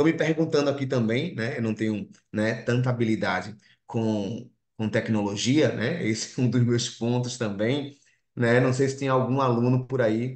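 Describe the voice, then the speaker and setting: A man with a strong Recife accent, medium pitch, fairly even intonation and a moderate pace. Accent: strong Recife (Pernambuco). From Brazil, Recife (Pernambuco). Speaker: clinical psychologist and lecturer. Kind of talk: online lecture. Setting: video call. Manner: frequent 'né' fillers.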